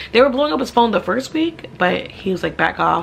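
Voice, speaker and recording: A woman speaks in an animated tone with ordinary pitch variation. Noticeable background noise can be heard. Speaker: realtor and vlogger. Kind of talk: casual Q&A vlog. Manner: fast.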